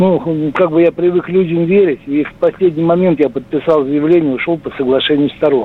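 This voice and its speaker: A man talks at a moderate pace with a fairly high pitch, ordinary pitch variation and hardly any pauses over noticeable background noise. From Russia, Saratov. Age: 60s. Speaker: caller. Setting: phone call.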